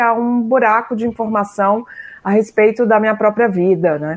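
A fairly high-pitched woman at a fairly slow pace. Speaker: philosophy professor. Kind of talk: interview. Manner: halting.

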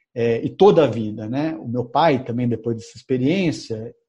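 Over a quiet background, a man talks in a somewhat breathy voice with a dark, mellow tone and ordinary pitch variation. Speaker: journalist and author. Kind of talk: interview.

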